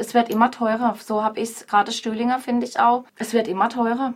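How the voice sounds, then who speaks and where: A woman's unremarkable speaking voice, fairly high in pitch, at a fairly quick pace with fairly even intonation. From Freiburg, southern Baden, Germany. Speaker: pub landlady. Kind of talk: radio interview.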